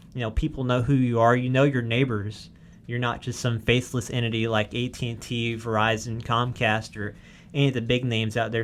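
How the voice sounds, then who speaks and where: With a Southern US accent, a man speaks at medium pitch and a fairly quick pace in a monotone, flat way. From US South, Arkansas. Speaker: wireless network engineer. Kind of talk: podcast tutorial discussion. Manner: casual, many fillers.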